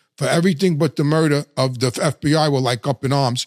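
A man talks at a fairly quick pace, his pitch fairly high with ordinary variation. The sound is dry and close, with no echo.

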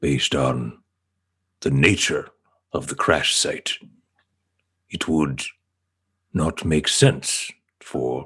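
A man's put-on character voice with a very deep, low pitch. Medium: actual play. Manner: formal, precise, no contractions.

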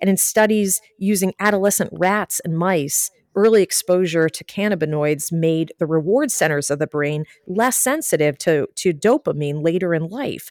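A woman with an ordinary speaking voice and a fairly low pitch talks at a moderate pace with ordinary pitch variation and hardly any pauses, in a dry, close sound with no echo. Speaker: journalist. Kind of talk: news discussion podcast.

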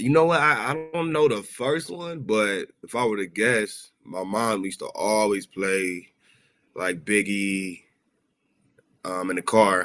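With an American accent, a man talks at a fairly slow pace in an ordinary speaking voice, his fairly low pitch carried by lively intonation. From South Central Los Angeles, US. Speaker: rapper. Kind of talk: casual interview chat. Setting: video call.

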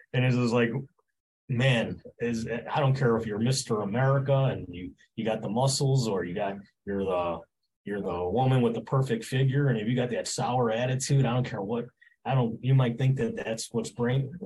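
This man talks at a moderate pace in a medium pitch, somewhat breathy, with ordinary pitch variation. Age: 60s. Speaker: gym owner. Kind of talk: interview.

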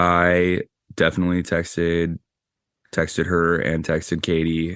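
Against a quiet background, a man with a very deep, low pitch speaks at a fairly slow pace in a monotone, flat intonation. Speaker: actor. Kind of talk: casual chat.

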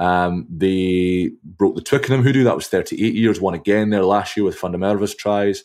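Someone with a Scottish accent speaks with ordinary pitch variation on a very clean recording with a silent background. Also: man, fairly low pitch for a man, moderate pace. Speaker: rugby commentator and journalist. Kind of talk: casual chat.

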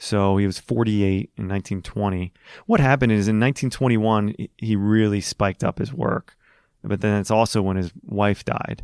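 A plain, everyday voice with fairly even intonation comes through a very clean recording with a silent background. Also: man, fairly low pitch for a man. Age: 30s. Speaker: golf course architect. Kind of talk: casual chat.

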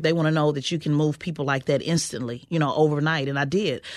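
In an American accent, a woman with a very deep, low pitch talks at a very fast pace with fairly even intonation against a quiet background. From Oklahoma City. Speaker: political consultant. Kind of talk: interview.

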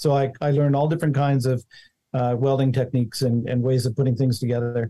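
A man's medium-pitched, dark, mellow, somewhat breathy voice with fairly even intonation, at a fairly quick pace. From Montana. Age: 60s. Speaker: inventor. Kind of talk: interview.

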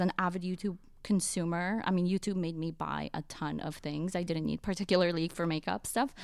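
Recorded very clean with a silent background, a woman talks at a fairly quick pace in a plain, everyday voice with ordinary pitch variation. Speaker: podcast industry professional. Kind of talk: casual chat.

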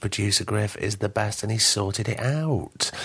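A man's fairly low, somewhat breathy voice. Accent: Lancashire. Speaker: podcast host. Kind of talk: casual chat.

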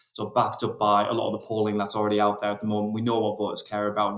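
This man's voice sits at a fairly low pitch. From northeast England, rural County Durham. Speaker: think tank researcher. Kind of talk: interview. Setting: podcast interview. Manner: halting.

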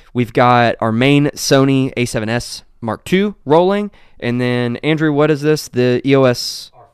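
A man with a plain, everyday voice speaks at a medium pitch and a fairly slow pace, with ordinary pitch variation, big swings in loudness and hardly any pauses. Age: 30s. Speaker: tech podcast host. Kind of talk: casual chat. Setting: studio.

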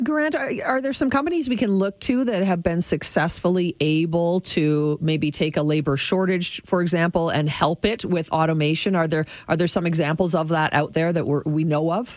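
A woman with a plain, everyday voice speaks at a fairly low pitch and a moderate pace, with ordinary pitch variation. She barely pauses, and her loudness stays very even. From Toronto, Canada. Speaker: radio host.

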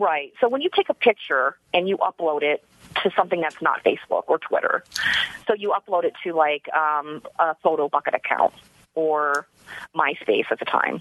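A woman with an ordinary speaking voice, fairly low in pitch, at a moderate pace with ordinary pitch variation. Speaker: citizen detective. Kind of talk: interview. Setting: studio.

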